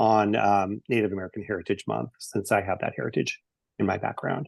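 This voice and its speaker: A man talking at a fairly quick pace, the sound dry and close with no echo over a quiet background. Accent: Pacific Northwest. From eastern Washington State. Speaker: presenter on case management and health equity. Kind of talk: webinar presentation and Q&A. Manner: fast; many fillers (um, uh).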